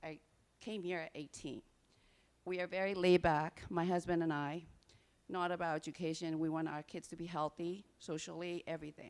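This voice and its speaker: A woman speaks in a fairly low pitch at a moderate pace. Her intonation is monotone and flat. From Burma. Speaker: parent speaking at public comment. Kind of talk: public comment at board meeting.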